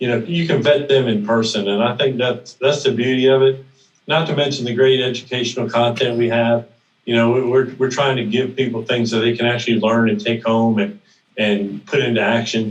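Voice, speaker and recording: At a fairly quick pace, a man talks with an unremarkable speaking voice at a medium pitch. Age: 60s. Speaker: note investing mentor and event organizer. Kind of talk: podcast interview.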